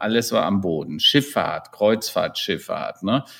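This man speaks at a medium pitch, and his intonation is lively. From Rhineland, Germany (near Hennef). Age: 60s. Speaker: digital transformation consultant and keynote speaker. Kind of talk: interview.

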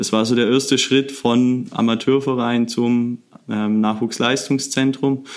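At a very slow pace, a man speaks at a medium pitch with monotone, flat intonation. His loudness stays very even. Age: 20s. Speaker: youth football coach. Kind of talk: interview.

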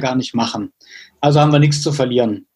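A man with a fairly high, somewhat breathy voice talks with ordinary pitch variation. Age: 30s. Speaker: mayor. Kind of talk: interview.

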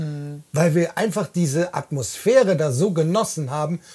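At a fairly slow pace, a man with fairly high pitch and a dark, mellow tone talks with lively intonation and a somewhat breathy quality. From Bonn, Rhineland. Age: 40s. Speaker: podcast host, truck driver. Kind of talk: casual chat. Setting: in a caravan.

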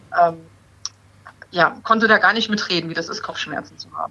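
A woman speaks over noticeable background noise. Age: 30s. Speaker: breast cancer patient. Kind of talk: casual chat.

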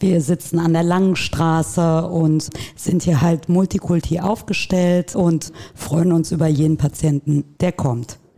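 A woman's voice sits at a fairly low pitch and moves at a very slow pace. Her loudness is very even and her intonation fairly even. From Dortmund, Germany. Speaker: practice manager. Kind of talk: casual interview.

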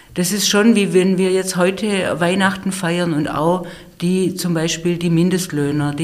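Audible room echo follows a woman speaking at a fairly slow pace with ordinary pitch variation. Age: 50s. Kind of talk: conversational interview. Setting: studio, face to face. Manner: hesitant, many fillers.

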